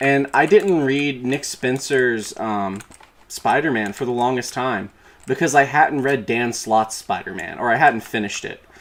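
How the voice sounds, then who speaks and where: Over noticeable background noise, a man talks fairly slowly at a medium pitch with ordinary pitch variation. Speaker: streamer and comics YouTuber. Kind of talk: live stream casual chat. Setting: gaming stream with game audio. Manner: halting, many fillers and restarts.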